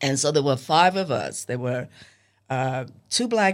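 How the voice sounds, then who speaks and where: A woman's very deep, low voice in a New York accent. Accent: American, New York. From US, New York (Harlem). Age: 80s+. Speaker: memoir author, former Playboy bunny. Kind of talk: interview. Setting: studio.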